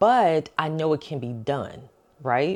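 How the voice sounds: A woman's slow, lively-toned delivery, low in pitch and slightly mellow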